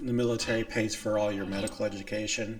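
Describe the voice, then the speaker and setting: A man speaks over noticeable background noise. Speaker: military veteran. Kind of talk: casual gameplay commentary.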